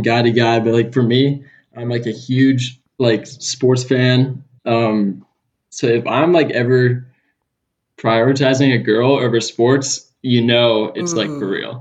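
A man with a Californian accent speaks at a fairly slow pace and medium pitch, his intonation fairly even. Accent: Californian surfer-style American. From Southern California (Los Angeles area). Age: 20s.

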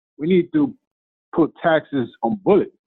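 A man talks in a fairly high pitch with lively intonation. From Honduras, moved to the Bronx at 15. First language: Spanish. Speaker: hip hop artist and motivational speaker. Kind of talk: interview.

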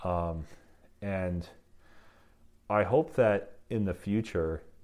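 A man's very deep, low voice with an Upper Peninsula Michigan accent and fairly even intonation. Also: very clean recording, silent background. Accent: Upper Midwest (Yooper). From Michigan Upper Peninsula. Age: 30s. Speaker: craft brewer. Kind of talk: casual interview. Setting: in person. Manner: halting, frequent repetitions.

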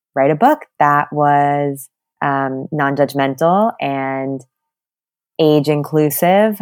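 A woman's very deep, low-pitched voice at a fairly slow pace. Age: 20s. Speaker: abortion support worker and children's author. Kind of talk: casual interview conversation.

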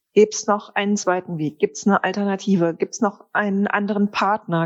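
A woman's medium pitch and fairly even intonation come through in a plain, everyday voice. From Ruhr area, Germany (Wanne-Eickel). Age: 50s. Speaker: perfume brand founder. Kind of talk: interview.

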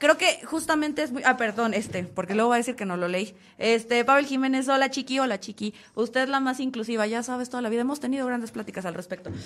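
Her voice is high-pitched and animated. The woman speaks at a very fast pace. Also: ordinary pitch variation. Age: 30s. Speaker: podcast host. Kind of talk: casual chat.

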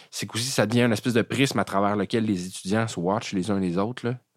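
A man with a Quebec accent, fairly low in pitch and fairly even in intonation, at a fairly quick pace, in a very clean recording with a silent background. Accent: Québécois French. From Quebec, Eastern Townships. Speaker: jazz pianist and composer. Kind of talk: casual interview chat.

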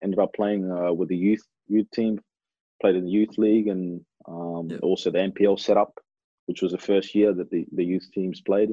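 Moderately paced speech from a man in an Australian accent, fairly low in pitch, with fairly even intonation. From Australia (Adelaide, then Melbourne), Kenyan-born. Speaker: professional footballer. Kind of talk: casual interview.

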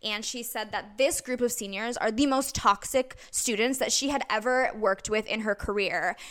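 With an American accent, a woman talks at a moderate pace in a high pitch, her tone bright and sharp and her pitch varying in an ordinary way. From Wisconsin, Eau Claire. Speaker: musical theater performer. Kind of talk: casual chat.

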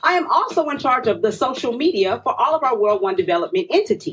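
A woman with an American accent speaks at a fairly quick pace in a high pitch, with very wide pitch swings. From Tulsa, Oklahoma. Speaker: community radio co-host. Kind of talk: casual chat. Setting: studio.

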